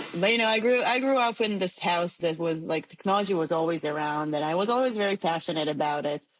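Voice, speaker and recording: A woman with an Israeli accent speaks very fast, with hardly any pauses and very even loudness. Her voice is fairly low, with lively intonation. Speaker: tech startup CEO. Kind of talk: podcast interview.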